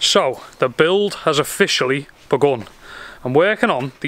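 Lively intonation marks this man's speech. The sound is dry, with no echo. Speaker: DIY vlogger. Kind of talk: casual vlog chat. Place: garden. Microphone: phone near.

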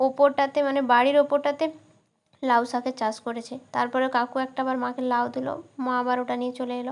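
Her voice sits high for a woman, with monotone, flat intonation. The background is quiet. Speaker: vlogger. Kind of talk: casual vlog narration. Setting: outdoors.

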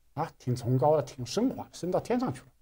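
A somewhat breathy man's voice, fairly high in pitch with a dark, mellow tone and very wide pitch swings. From China. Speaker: artist recounting art school life; interview guest, art commentator. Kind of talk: interview. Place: studio.

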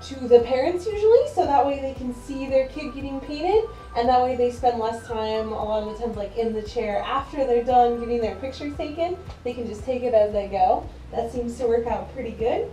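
A woman speaks at a high pitch and a fairly quick pace, with ordinary pitch variation and big swings in loudness. Audible room echo and faint music sit in the background. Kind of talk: tutorial. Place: home room. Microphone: camera far.

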